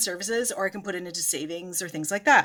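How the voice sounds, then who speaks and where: Bright and sharp in tone, a woman speaks at a fairly quick pace with lively intonation. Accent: Cape Breton. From Cape Breton, Canada. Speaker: fitness and feminism content creator. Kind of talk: casual educational talk to camera.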